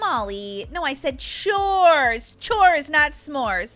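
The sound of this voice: A woman puts on a cartoonish character voice, high-pitched with a fairly bright tone and big pitch swings. She talks at a very slow pace while faint music plays in the background.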